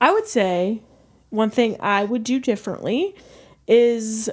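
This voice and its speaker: A woman in an American accent at a very slow pace. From St. Louis, Missouri. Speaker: veterinary student. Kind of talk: casual chat.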